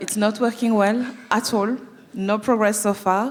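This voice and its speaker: A woman talks with a slight French accent. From France (Paris). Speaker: anti-oppression management consultant. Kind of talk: panel talk, introductions.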